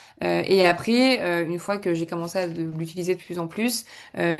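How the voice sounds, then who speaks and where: A woman talks at a moderate pace in a medium-pitched voice. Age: 20s. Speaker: club member giving testimonial. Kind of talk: testimonial in an online masterclass. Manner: casual, many hesitations.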